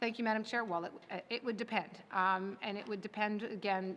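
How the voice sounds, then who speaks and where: A woman talks at a fairly quick pace with fairly even intonation, in an ordinary speaking voice. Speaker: government minister. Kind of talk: legislative committee debate.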